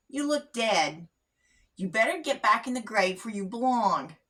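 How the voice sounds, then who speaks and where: A woman performs a put-on character voice. Her fairly high pitch swings very widely up and down. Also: moderate pace. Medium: read story.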